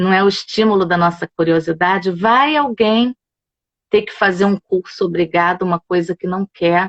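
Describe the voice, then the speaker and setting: At a moderate pace, a woman with a medium pitch speaks in a dry, close sound with no echo. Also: ordinary pitch variation. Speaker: yoga instructor. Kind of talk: casual chat. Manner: animated. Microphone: phone.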